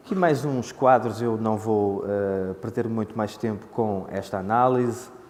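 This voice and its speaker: Noticeable background noise and audible room echo, at a fairly slow pace. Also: man, medium pitch for a man, ordinary pitch variation, hardly any pauses. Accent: Porto. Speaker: conference speaker on economics. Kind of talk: conference presentation. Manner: hesitant, many filler sounds.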